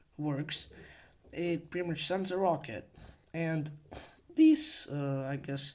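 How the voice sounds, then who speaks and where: This speaker talks at a very slow pace with a non-native accent. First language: not English. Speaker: hobbyist video creator. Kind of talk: casual show-and-tell tutorial. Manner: halting, many fillers.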